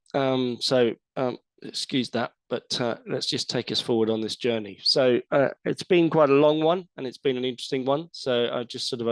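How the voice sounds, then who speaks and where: A man speaks with an English accent and fairly even intonation. The sound is dry and close, with no echo. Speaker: environmental scientist. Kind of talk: webinar presentation. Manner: hesitant, many fillers.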